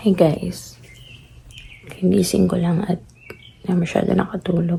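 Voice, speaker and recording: Over noticeable background noise, a woman talks at a fairly slow pace and fairly low pitch with monotone, flat intonation. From Philippines. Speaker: family vlogger. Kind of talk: vlog. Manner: soft-spoken.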